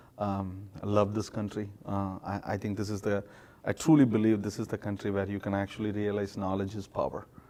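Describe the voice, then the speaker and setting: Speaking fairly quickly, a man with an Indian accent has a fairly low pitch. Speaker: startup founder. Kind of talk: interview. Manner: halting, many fillers.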